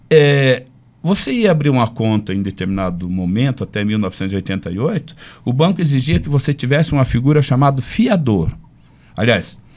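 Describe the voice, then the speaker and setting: At a moderate pace and medium pitch, a man speaks with very wide pitch swings in a very clean recording with a silent background. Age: 70s. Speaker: forensic expert, former federal police officer. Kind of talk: casual podcast interview.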